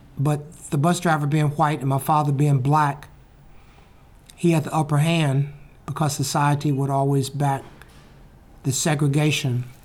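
With an Alabama accent, a man speaks at a moderate pace and a fairly high pitch, somewhat breathy and monotone, his loudness very even and his pauses long and frequent. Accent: Southern US (Alabama). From US South, Birmingham, Alabama. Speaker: public speaker, retired news cameraman. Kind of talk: storytelling talk and interview booth answers.

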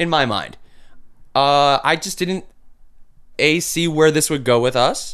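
A man's fairly high voice carries an American accent. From Milwaukee, Wisconsin. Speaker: cancer patient sharing his story. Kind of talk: casual interview. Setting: studio.

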